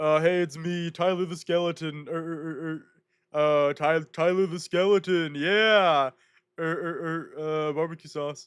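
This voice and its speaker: On a very clean recording with a silent background, a man performs in a put-on character voice. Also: fairly high pitch for a man, moderate pace. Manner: stuttering, filler sounds, silly.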